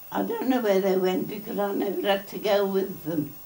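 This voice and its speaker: The speaker is a woman with a Birmingham accent and a medium pitch. Background noise is noticeable. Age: 90s. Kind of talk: interview answer.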